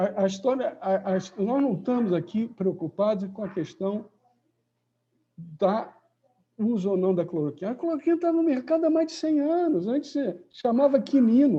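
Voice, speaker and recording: Very wide pitch swings from a man at a high pitch and moderate pace. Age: 70s. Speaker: professor. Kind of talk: lecture.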